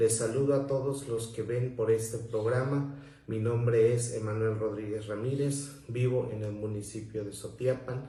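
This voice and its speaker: With a southern Mexican accent, a man speaks at a fairly slow pace with hardly any pauses and monotone, flat intonation, amid audible room echo and noticeable background noise. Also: medium pitch for a man. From Mexico, southern Veracruz. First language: Zoque-Popoluca (speaking Spanish). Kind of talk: prepared talk. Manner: formal.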